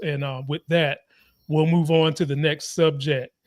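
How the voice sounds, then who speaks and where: A man talks at a moderate pace, recorded very cleanly against a silent background with a dry, close sound and no echo. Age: 40s. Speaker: political commentary host. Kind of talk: live political talk show. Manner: animated.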